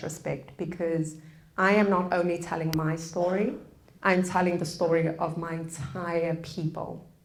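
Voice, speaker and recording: Audible room echo surrounds a woman with a South African accent, who speaks at a fairly low pitch with monotone, flat intonation. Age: 30s. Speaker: public speaker on forgiveness. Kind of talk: public lecture.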